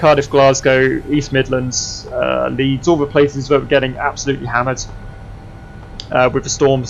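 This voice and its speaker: Over noticeable background noise, a man with an Essex accent talks at a moderate pace in a medium pitch, with monotone, flat intonation. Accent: southern English (Essex). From Essex, England. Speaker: flight sim streamer. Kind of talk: casual livestream chat.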